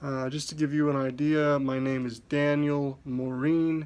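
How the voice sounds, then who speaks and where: This man's voice is fairly high in pitch. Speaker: podcast host. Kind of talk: podcast monologue. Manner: mumbling.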